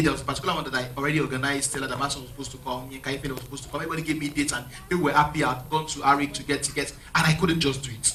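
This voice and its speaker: A man's fairly high voice at a very fast pace, with audible room echo and noticeable background noise. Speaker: pastor. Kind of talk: interview in church. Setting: church. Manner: halting.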